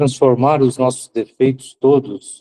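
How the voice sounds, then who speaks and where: A man talks at a fairly slow pace in a medium pitch, his tone dark and mellow. The sound is dry and close, with no echo. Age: 70s. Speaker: spiritist lecturer. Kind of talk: religious lecture.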